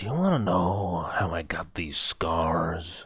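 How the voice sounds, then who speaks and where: A man uses a put-on character voice, raspy and very deep in pitch. He talks at a fairly slow pace with fairly even intonation. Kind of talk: old mafia movie style. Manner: menacing, gravelly.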